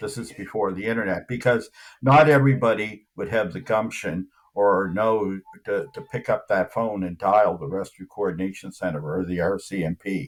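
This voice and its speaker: A fairly low-pitched man's voice, an unremarkable speaking voice at a moderate pace with ordinary pitch variation. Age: 60s. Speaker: UFO investigator. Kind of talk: interview. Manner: conversational, many fillers.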